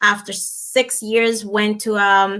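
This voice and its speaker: A woman speaks with a Dominican accent at medium pitch. Her tone is bright and sharp. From Dominican Republic. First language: Spanish. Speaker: businesswoman and nutritionist. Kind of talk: interview. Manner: halting.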